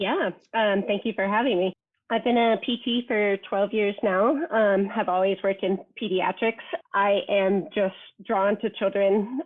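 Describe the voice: Speaking at a fairly slow pace, a woman holds a medium pitch with fairly even intonation.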